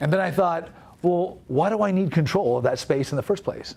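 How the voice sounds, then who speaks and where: Vocal fry runs through a man's voice, which has ordinary pitch variation. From US West (raised in Las Vegas). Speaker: professor. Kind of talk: workshop Q&A answer. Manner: halting, many fillers.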